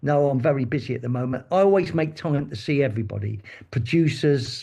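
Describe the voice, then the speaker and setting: Somewhat breathy with a dark, mellow tone, a man speaks fairly quickly at a medium pitch with ordinary pitch variation over a quiet background. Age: 60s. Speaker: advertising creative and commercials director. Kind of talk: interview. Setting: podcast. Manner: animated storytelling.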